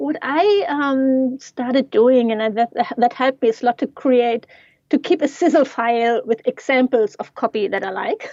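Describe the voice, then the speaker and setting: With a non-native accent, a woman speaks at a high pitch and a moderate pace, with ordinary pitch variation. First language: not English. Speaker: yoga teacher and digital marketing coach. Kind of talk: casual interview.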